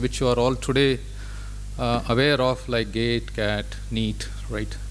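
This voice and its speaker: The voice belongs to a man talking at a moderate pace. Noticeable background noise is present. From India. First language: Kannada. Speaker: corporate executive. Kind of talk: speech.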